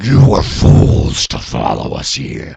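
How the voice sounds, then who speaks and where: A man booms out in a put-on character voice. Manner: menacing, ominous.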